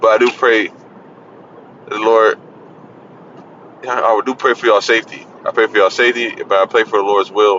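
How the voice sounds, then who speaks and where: Noticeable background noise runs under a man who talks at a fairly quick pace but leaves long, frequent pauses. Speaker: religious video preacher. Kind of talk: casual sermon monologue. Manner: halting, hesitant.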